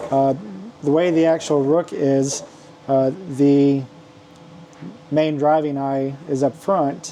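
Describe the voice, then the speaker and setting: Amid noticeable background noise, a man with a fairly high pitch speaks at a very slow pace in a monotone, flat way, with very even loudness and long, frequent pauses. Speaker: maker selling custom toy accessories. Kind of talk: product showcase video. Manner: halting, many fillers.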